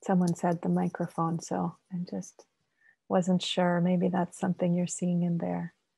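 Speaking at a fairly slow pace over a quiet background, a woman with a fairly low pitch and a dark, mellow tone sounds somewhat breathy, her intonation monotone and flat. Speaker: mindfulness guide. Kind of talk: guided meditation. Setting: video call. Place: home room. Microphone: video call.

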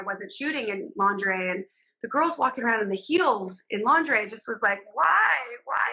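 A woman's fairly quick, lively delivery with a bright, sharp tone and fairly high pitch, with an American accent, over a quiet background. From Southern California. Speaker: fashion and beauty photographer. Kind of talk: casual interview chat. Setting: video call from home. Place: home room. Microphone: video call.

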